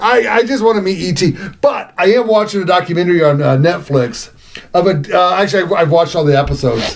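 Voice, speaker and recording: Over noticeable background noise, a man speaks in an animated tone at a very fast pace, high in pitch with lively intonation. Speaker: podcast co-host. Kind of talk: casual chat. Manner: halting.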